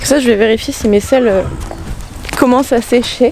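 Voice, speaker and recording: A woman speaks at a high pitch with ordinary pitch variation. Background noise is noticeable. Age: 20s. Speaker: horse owner vlogger. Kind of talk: vlog monologue. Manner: casual, hesitant; soft-spoken.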